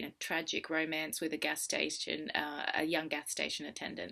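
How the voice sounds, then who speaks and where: Against a quiet background, a woman with a very deep, low voice speaks in a bright, sharp tone with vocal fry. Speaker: film reviewer vlogger. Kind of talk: vlog review. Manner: fast.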